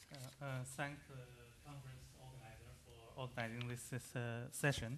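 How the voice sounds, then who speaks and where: Speaking in a flat monotone at medium pitch and a moderate pace, a man's loudness swings widely amid audible room echo. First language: Chinese. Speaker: economist. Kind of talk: conference panel talk. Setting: conference session with microphone. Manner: halting, many hesitations.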